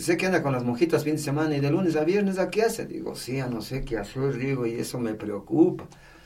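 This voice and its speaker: With audible room echo, a man's fairly high voice moves through very wide pitch swings. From Ecuador, Tungurahua (Patate). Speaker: firefighter and Red Cross volunteer. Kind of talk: casual interview, life story.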